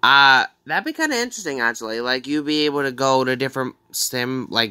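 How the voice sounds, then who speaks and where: A man talks at a moderate pace with a bright, sharp tone. His intonation stays fairly even over a quiet background. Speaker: gaming fan vlogger. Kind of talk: casual reaction commentary. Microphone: phone near.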